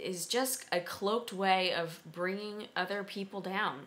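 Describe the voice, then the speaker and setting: In an American accent, a woman speaks with a bright, sharp tone. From US Northeast, Philadelphia. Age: 20s. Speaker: vlogger and blogger; vlogger, blogger. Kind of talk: casual vlog monologue. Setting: at home, late at night. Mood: concerned, earnest. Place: kitchen. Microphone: webcam.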